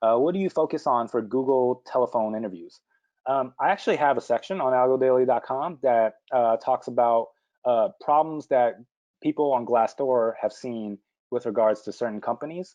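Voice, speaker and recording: Speaking at a moderate pace, a man uses a normal speaking voice at a medium pitch with ordinary pitch variation. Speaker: interview prep instructor. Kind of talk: webinar Q&A. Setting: online webinar. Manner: many filler words.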